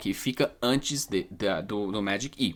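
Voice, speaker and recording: A man talks with a non-native accent. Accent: foreign accent in Portuguese. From English-speaking country. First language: English (speaking Portuguese). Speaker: English teacher. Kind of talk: lecture. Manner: halting.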